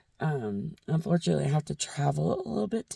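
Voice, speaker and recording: Somewhat breathy, a woman speaks at a moderate pace with a dry, close sound and no echo. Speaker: book vlogger. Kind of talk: casual vlog talk. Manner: animated.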